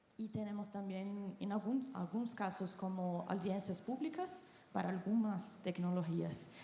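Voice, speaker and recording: With noticeable background noise around her, a woman talks fairly slowly, her pitch varying in an ordinary way. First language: Portuguese (speaking Spanish). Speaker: patient advocacy representative. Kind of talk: panel discussion.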